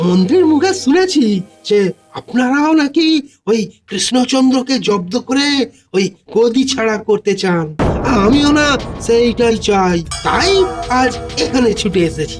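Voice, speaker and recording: A man performs a cartoonish character voice at an extremely high pitch with lively intonation and a moderate pace. Faint music plays in the background. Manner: rambling, filler-heavy, sly.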